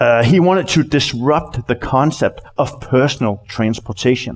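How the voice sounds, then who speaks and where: A man at a fairly slow pace, his intonation lively. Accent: Danish. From Denmark. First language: Danish. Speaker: company CEO, conference speaker. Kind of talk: conference talk. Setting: stage with audience. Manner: halting, many repeated words.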